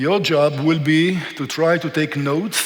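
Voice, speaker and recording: A man with an Israeli accent speaks with a fairly high pitch and fairly even intonation, amid audible room echo and noticeable background noise. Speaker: historian and tour guide. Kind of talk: lecture.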